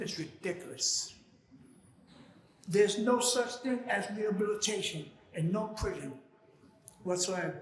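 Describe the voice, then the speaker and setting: Audible room echo surrounds a man's high voice. He speaks fairly slowly with ordinary pitch variation. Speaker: former prisoner and activist. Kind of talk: prepared speech read from notes. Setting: church event with live audience.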